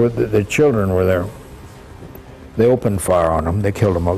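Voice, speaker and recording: A man talks at a moderate pace with a very deep, low pitch and ordinary pitch variation. Music plays in the background. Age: 80s+. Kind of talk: interview answer.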